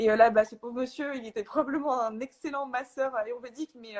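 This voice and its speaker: A woman speaks at a high pitch and a fairly quick pace. Her intonation is fairly even, and the sound is dry and close with no echo. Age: 20s. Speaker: energy healer. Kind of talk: casual chat. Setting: Instagram live video call.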